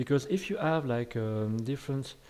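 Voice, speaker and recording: In a very clean recording with a silent background, a man speaks at a moderate pace. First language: French. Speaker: game development tutor. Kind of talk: tutorial. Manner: hesitant, many fillers.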